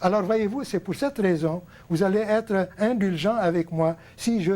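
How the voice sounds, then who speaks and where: On a very clean recording with a silent background, a man talks at a fairly slow pace with a dark, mellow tone. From Lebanon. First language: Arabic (speaking French). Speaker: TV host, painting teacher. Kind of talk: televised talk to viewers, unscripted lecture. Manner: hesitant, many fillers.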